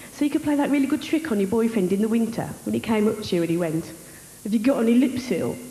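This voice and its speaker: A woman with a strong Wolverhampton accent, a fairly high pitch and lively intonation, very fast, with audible room echo and noticeable background noise. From West Midlands, Wolverhampton. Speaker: stand-up comedian. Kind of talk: stand-up. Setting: stage with audience.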